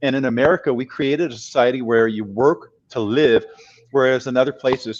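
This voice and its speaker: Fairly even in intonation, a man with a medium pitch talks rather quickly. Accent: San Francisco. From US West Coast, San Francisco. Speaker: career and life coach. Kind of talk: podcast interview chat.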